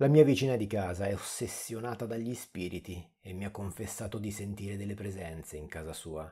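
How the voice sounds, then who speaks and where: A man's fairly low, dark, mellow voice, somewhat breathy and fairly quick, with hardly any pauses and big swings in loudness, on a very clean recording with a silent background. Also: ordinary pitch variation. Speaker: horror story narrator. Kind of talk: horror story narration, reading creepypasta.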